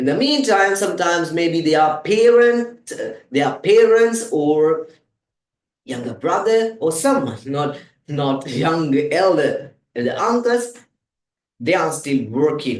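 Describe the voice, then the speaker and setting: A high-pitched man at a very slow pace, with very wide pitch swings. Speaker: English teacher. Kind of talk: tutorial.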